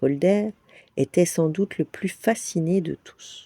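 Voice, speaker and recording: A woman talks at a very slow pace in a gentle, dark, mellow tone, with ordinary pitch variation and a dry, close sound with no echo. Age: old. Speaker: storyteller. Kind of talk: bedtime story reading.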